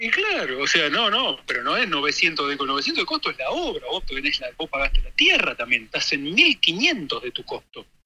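The speech runs on with hardly any pauses while music plays in the background. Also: moderate pace. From Buenos Aires, Argentina. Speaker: architect, caller. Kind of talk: casual chat.

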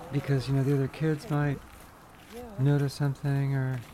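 Through noticeable background noise, a woman speaks with a very deep, low pitch. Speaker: transgender woman sharing her story. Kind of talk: casual interview chat.

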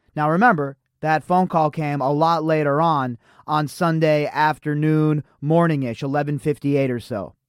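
In an American accent, a man with a plain, everyday voice speaks at a moderate pace and fairly high pitch with fairly even intonation, the sound dry and close with no echo on a very clean recording with a silent background. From Las Vegas, US. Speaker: podcast host. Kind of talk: casual commentary reading news articles.

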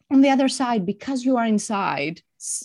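The speaker has a Greek accent and a moderate pace. The background is quiet. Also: woman. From Greece. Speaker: executive coach. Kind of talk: interview.

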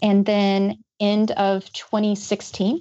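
A woman with an American accent. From Georgia, US South. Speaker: ethical AI researcher. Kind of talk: interview answers.

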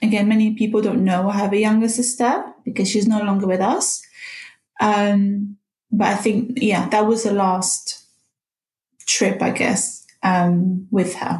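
A woman's somewhat breathy voice at medium pitch, fairly even in intonation, very even in loudness, at a fairly slow pace. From Morocco. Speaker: podcast guest sharing personal story. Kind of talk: personal testimony.

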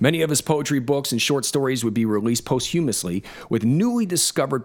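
A man in a normal speaking voice talks at a fairly quick pace and a medium pitch. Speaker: podcast host. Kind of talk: scripted narration mixed with casual chat.

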